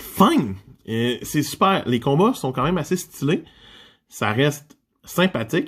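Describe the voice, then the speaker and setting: Speaking very slowly with long, frequent pauses, a man with a Quebec accent uses a fairly high, somewhat breathy voice that swings very widely in pitch. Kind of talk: casual manga review talk to camera.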